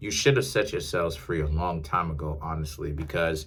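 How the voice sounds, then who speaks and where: A man speaks in an animated tone, with audible room echo. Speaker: tarot reader. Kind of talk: tarot reading monologue. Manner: casual, animated.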